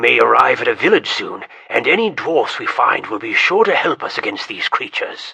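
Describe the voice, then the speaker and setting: A man does a put-on character voice at a fairly quick pace. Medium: read story. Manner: urgent.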